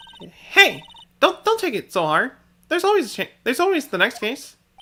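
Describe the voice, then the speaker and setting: A high, put-on character voice with very wide pitch swings, at a fairly quick pace. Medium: game stream. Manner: gruff, keeps saying pal.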